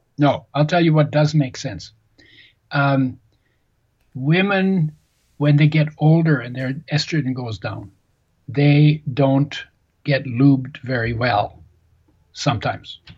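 A man with a fairly high, somewhat breathy voice talks very slowly, with long, frequent pauses and ordinary pitch variation. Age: 70s. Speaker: nutrition author and healthy oils expert. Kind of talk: interview.

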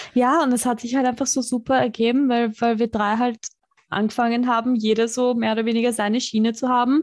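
A high-pitched woman at a fairly quick pace, in a monotone, flat intonation with very even loudness. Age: 30s. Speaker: podcast host. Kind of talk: casual chat. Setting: video call.

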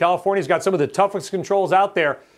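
The voice belongs to a man with a high pitch. His recording is very clean, with a silent background. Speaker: business news host. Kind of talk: news show hosting. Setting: studio.

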